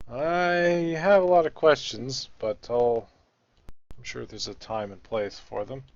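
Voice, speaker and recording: This man has an ordinary speaking voice with a fairly high pitch and lively intonation. He talks at a fairly slow pace, with big swings in loudness. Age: 20s. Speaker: gamer streamer. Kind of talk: casual chat.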